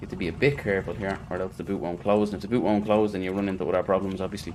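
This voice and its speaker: Talking very fast with an Irish accent, a man keeps a fairly low pitch and fairly even intonation. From Ireland. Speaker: video game streamer. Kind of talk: live gameplay commentary. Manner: casual, rambling.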